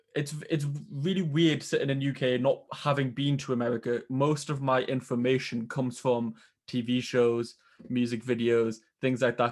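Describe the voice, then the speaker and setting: A man with a British accent, medium pitch, moderate pace and fairly even intonation, against a quiet background. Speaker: podcast host. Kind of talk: casual interview chat. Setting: remote call.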